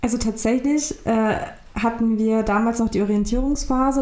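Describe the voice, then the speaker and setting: Her voice fairly high in pitch, a woman speaks at a moderate pace with ordinary pitch variation. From Germany, migrant family. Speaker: law graduate. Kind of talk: interview. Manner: halting.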